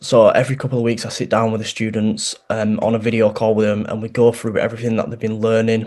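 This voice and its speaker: Talking at a very fast pace, a man with a strong Yorkshire accent uses a medium pitch. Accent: thick Yorkshire. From Yorkshire, northern England. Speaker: barbering course founder and barber. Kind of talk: interview.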